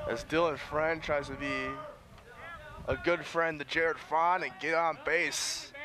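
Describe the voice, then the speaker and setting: Long, frequent pauses break up a man's high-pitched speech. His intonation is fairly even, and background noise is noticeable. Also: fairly slow pace. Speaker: sports broadcaster. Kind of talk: baseball play-by-play commentary.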